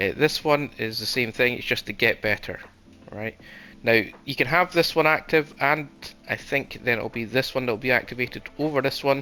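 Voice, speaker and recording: Over music in the background, a man speaks quickly enough at a medium pitch, keeping a fairly quick pace. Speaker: gaming channel host. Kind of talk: game walkthrough commentary. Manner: casual.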